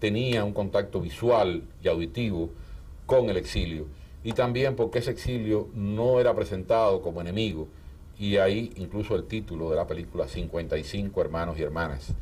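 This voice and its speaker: A man speaks at a moderate pace in a fairly low, somewhat breathy voice with a dark, mellow tone. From Cuba. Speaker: writer and filmmaker. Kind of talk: interview. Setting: office. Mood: calm, reflective. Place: studio. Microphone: lapel.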